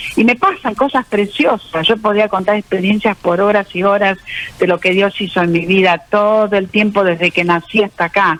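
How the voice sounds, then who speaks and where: Amid noticeable background noise, a woman talks at a moderate pace with a medium pitch and fairly even intonation. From Argentina, born in Austria. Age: 70s. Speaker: author giving faith testimony. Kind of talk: radio interview testimony.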